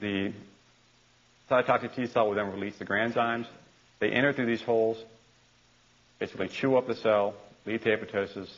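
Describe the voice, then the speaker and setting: A man speaks at a fairly quick pace and medium pitch with monotone, flat intonation, leaving long, frequent pauses. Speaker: university lecturer. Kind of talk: lecture. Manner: fast; halting, with repeated words.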